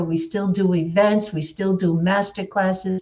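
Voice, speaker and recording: A woman with an unremarkable speaking voice talks at a fairly slow pace. Her medium pitch carries fairly even intonation. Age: 60s. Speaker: life coach. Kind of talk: group coaching discussion.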